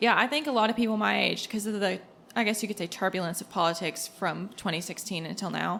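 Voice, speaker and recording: Very fast and bright with a sharp tone, a woman's medium-pitched voice carries vocal fry and ordinary pitch variation on a very clean recording with a silent background. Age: 20s. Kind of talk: casual panel discussion. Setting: live recording at a coffee house.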